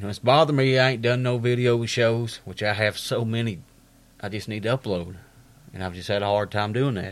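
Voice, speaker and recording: A man speaks in an Appalachian accent at a fairly quick pace. His medium pitch shows ordinary pitch variation on a very clean recording with a silent background. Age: 30s. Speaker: podcast host. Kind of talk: casual monologue.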